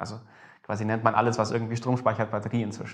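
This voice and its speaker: A man is speaking. His voice has vocal fry. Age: 20s. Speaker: energy storage startup founder. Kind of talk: interview. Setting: meeting room at a university.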